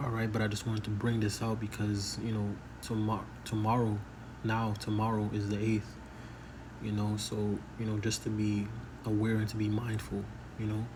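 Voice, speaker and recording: Audible room echo surrounds a soft-spoken man with a fairly low pitch who talks at a moderate pace in a flat monotone, leaving long, frequent pauses. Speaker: religious commentator. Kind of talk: casual monologue.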